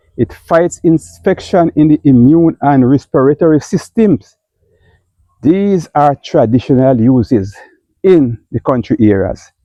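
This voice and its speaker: Lively in intonation, this man talks at a fairly slow pace. His pitch is fairly high. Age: 60s. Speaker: herbal health channel host. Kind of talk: outdoor walkthrough tutorial. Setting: outdoors in backyard. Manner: halting, repetitive fillers.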